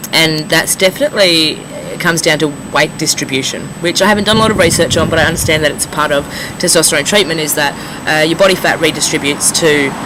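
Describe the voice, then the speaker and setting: A man talks very fast at a fairly high pitch with fairly even intonation. Noticeable background noise runs beneath him. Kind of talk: casual talk to camera.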